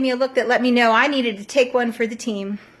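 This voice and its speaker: A woman speaks at a high pitch with a Southern US accent. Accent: Southern American. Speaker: storyteller. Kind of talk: personal storytelling to camera.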